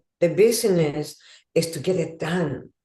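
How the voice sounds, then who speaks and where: The tone is dark and mellow, with ordinary pitch variation. Delivery comes at a fairly slow pace. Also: woman. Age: 70s. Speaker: podcast host. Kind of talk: casual chat.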